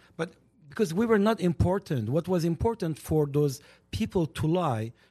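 With an Armenian accent and a dark, mellow tone, a man talks at a moderate pace with a fairly high pitch and lively intonation against a quiet background. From Lebanon. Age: 60s. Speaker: community media personality and commentator. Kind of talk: casual talk show discussion. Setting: studio. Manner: outspoken.

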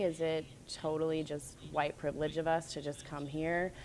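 A woman with an American accent uses a plain, everyday voice. Her pitch is fairly low, and her pace is moderate. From US South, North Carolina. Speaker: ballet dancer. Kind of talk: casual interview chat. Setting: remote call from Bahamas island.

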